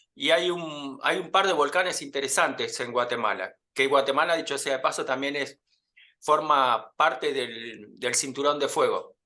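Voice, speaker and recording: A man with an Argentine accent, fairly high pitch and a bright, sharp tone, at a fairly slow pace against a quiet background. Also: ordinary pitch variation. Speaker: podcast host. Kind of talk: interview.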